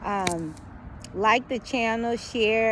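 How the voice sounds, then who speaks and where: Fairly even intonation from a woman with a fairly high voice. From US South. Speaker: YouTuber. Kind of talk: casual vlog commentary. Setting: outdoors in backyard. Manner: halting, many fillers.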